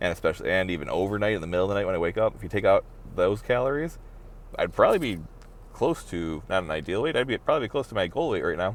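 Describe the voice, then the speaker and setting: A man mumbles at a very fast pace. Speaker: vlogger. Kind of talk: personal video diary. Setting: in a car. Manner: mumbling.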